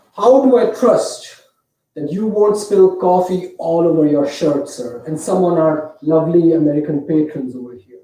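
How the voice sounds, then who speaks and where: This man has an Indian accent and a high pitch. His tone is dark and mellow, with ordinary pitch variation. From India (Mumbai). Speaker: storyteller. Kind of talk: storytelling performance.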